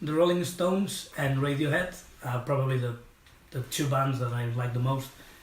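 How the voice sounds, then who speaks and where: A man with a Spanish accent, fairly high-pitched, at a moderate pace with ordinary pitch variation and audible room echo. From Spain, Catalonia. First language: Catalan or Spanish. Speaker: musician. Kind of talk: casual interview. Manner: halting.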